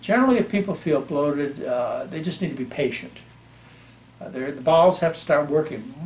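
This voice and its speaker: Over noticeable background noise, a man talks at a fairly quick pace with a fairly high pitch, lively intonation and big swings in loudness. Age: 60s. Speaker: physician. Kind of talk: interview.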